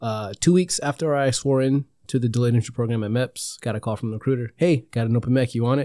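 A man in a very clean recording with a silent background and a dry, close sound with no echo talks at a very fast pace with hardly any pauses, at a medium pitch with ordinary pitch variation and a dark, mellow tone. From North Carolina, Jacksonville. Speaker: air force recruiter. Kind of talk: casual chat. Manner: animated.

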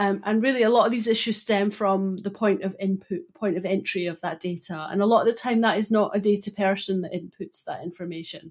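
A woman's medium-pitched voice at a fairly quick pace, with fairly even intonation and hardly any pauses. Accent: Scottish. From Scotland, Broughty Ferry (Dundee). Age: 40s. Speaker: data consultant. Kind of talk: interview.

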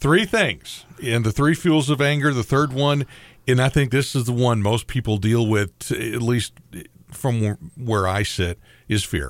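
A normal speaking voice at a fairly slow pace. The pitch varies in an ordinary way. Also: man, medium pitch for a man. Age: 60s. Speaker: radio host. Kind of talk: casual chat.

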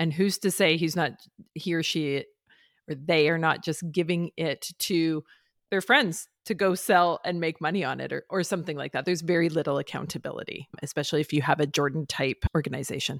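A woman with an ordinary speaking voice, fairly low in pitch, talks at a fairly quick pace with fairly even intonation in a very clean recording, silent background, dry and close with no echo. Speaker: podcast host and startup founder. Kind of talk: casual podcast conversation.

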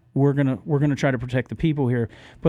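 Speaking very fast with an American accent, a man keeps a fairly high pitch and fairly even intonation. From Florida, Orlando. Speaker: political candidate. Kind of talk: radio interview. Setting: radio studio.

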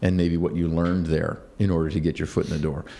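In an American accent, a man speaks with a very deep, low pitch, a dark, mellow tone and fairly even intonation. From US Midwest, northern suburbs of Chicago. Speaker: business executive. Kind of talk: interview. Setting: office.

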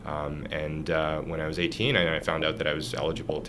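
A man with a Canadian accent talks at a moderate pace in a very deep, low voice. There is noticeable background noise and audible room echo. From Canada, Ottawa. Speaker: startup founder and CEO. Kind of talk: interview. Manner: hesitant with repetitions.

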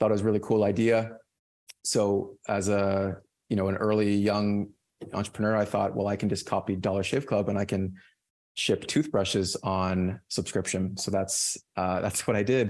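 A man with an ordinary speaking voice and fairly low pitch talks at a moderate pace. His loudness is very even, his intonation fairly even, and the background quiet. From Nova Scotia, Canada. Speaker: entrepreneur, CEO. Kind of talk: podcast interview.

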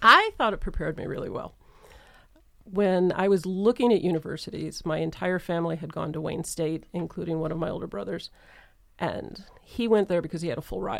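Speaking at a fairly quick pace, a woman with an American accent shows vocal fry. Her pitch is fairly low, with ordinary variation. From Michigan, Metro Detroit. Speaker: engineering professor. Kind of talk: panel interview.

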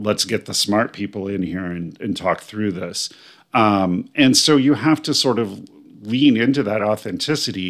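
The speaker has a normal speaking voice and an American accent, going at a fairly slow pace. The recording is very clean, with a silent background. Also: man. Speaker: spiritual life coach and podcast host. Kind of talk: solo podcast monologue.

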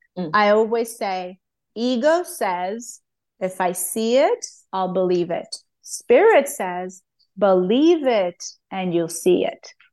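A woman speaks at a very slow pace in a medium pitch. Her pitch swings very widely. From Armenia. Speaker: hypnotherapist and life coach. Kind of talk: interview conversation. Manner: animated.

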